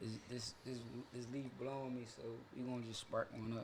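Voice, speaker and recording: A man speaks at a medium pitch, with audible echo in the room. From Philadelphia, US. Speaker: fashion entrepreneur. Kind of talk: casual chat.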